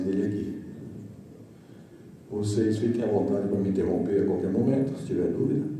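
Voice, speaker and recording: In a room with audible echo and noticeable background noise, a man speaks fairly quickly at a fairly low pitch. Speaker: company director. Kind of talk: trade presentation. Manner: trying to speak softly.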